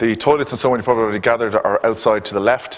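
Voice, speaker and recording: Over noticeable background noise, a man with an Irish accent talks at a medium pitch. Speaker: event host. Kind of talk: event introduction to live audience. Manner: fast.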